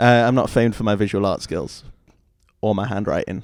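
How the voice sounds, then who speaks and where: This man has a Geordie accent and a fairly low pitch. His intonation is fairly even. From northern England, Newcastle. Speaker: singer-songwriter. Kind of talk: casual interview chat. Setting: studio with camera.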